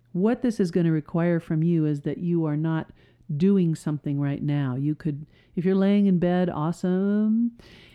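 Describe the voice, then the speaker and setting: A woman's fairly low-pitched, normal speaking voice with ordinary pitch variation. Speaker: hypnotist and podcast host. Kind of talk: guided hypnosis session. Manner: slow, soothing, repetitive; calm, hushed, hypnotic.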